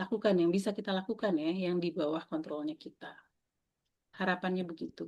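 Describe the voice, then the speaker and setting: Over a quiet background, a plain, everyday voice speaks with ordinary pitch variation. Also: woman. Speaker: mindfulness facilitator. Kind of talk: online workshop talk. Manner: casual, conversational.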